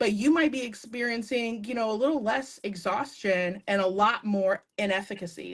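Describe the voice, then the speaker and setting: The speaker is a woman. Her pitch variation is ordinary. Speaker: live stream co-host, consultant. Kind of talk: casual chat. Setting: video call. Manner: fast; animated.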